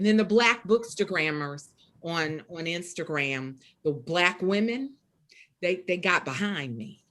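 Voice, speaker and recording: A woman speaks with a strong Southern US accent. Her fairly low voice moves with lively intonation at a fairly slow pace. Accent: deep Southern US. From US South. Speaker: poet and author. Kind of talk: interview. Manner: casual, conversational.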